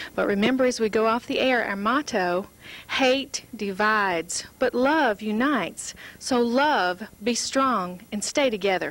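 A woman speaks with ordinary pitch variation in a dry sound with no echo. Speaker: TV show host. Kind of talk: show host talk and sign-off. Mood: warm, upbeat. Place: studio. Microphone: handheld.

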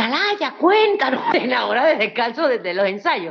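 A woman speaks in an animated tone with very wide pitch swings. Her pace is moderate, and the background is quiet. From Venezuela, Anzoátegui; raised in Caracas; Venezuela. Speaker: former beauty queen and comic actress; comedian interviewed. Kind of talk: casual interview chat. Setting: live video stream. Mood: emphatic, somewhat indignant. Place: home room. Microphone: video call.

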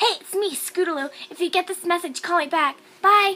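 A woman uses a put-on character voice. Her pitch is extremely high and her pace moderate. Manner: bubbly, cheerful.

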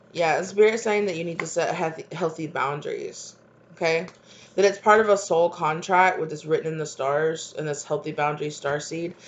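This woman's fairly low voice moves at a moderate pace with fairly even intonation over light background noise. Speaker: tarot reader. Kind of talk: tarot reading monologue. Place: kitchen. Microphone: webcam.

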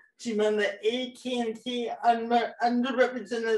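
Audible room echo surrounds the recording. A woman speaks at a very slow pace. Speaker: actress and director; actress. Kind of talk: virtual panel, introducing films. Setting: video call. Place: home room. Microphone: video call.

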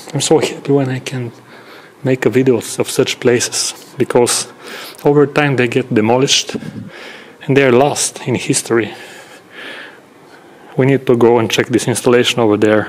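A man speaks at a moderate pace with fairly even intonation. He takes long, frequent pauses. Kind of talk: casual vlog commentary. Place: factory. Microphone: phone near.

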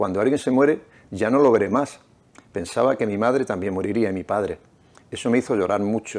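This man has an ordinary speaking voice, pitched fairly low with ordinary variation, and he talks at a fairly quick pace. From Nerva, Huelva, Andalusia, Spain; Andalusia, Spain. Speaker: novelist and restaurant owner; interviewee. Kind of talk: reading aloud; interview. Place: studio. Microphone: lapel.

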